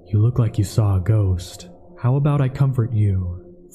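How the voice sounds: A man puts on a character voice, fairly low in pitch, at a moderate pace. Clear music plays in the background.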